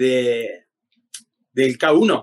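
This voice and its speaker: A man speaks with an Argentine accent. The sound is dry and close, with no echo. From Argentina. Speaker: MMA fighter. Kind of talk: interview.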